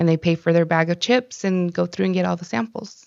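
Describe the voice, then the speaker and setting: Fairly low in pitch, a woman's voice moves at a fairly quick pace, with a dry, close sound and no echo. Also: quiet background. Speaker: city podcast co-host. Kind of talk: casual chat.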